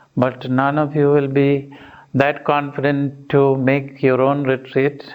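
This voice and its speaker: Over noticeable background noise, a man with a fairly high pitch speaks very slowly in a monotone, flat voice at very even loudness. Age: 60s. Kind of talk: retreat talk.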